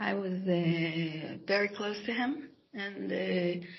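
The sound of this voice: A woman speaks slowly at a medium pitch, with ordinary pitch variation. Her voice has vocal fry.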